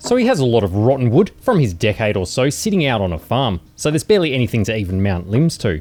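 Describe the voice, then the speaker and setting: Speaking with an Australian accent, a man talks at a fairly quick pace with very wide pitch swings. The recording is very clean, with a silent background. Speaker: DIY maker YouTuber. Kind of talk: casual tutorial narration.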